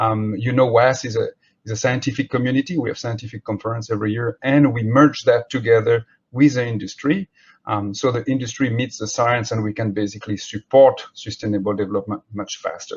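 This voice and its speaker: Speaking at a fairly quick pace with a French accent, a man's somewhat breathy voice sits at medium pitch with fairly even intonation. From France. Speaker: marine scientist. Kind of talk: keynote lecture. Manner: halting.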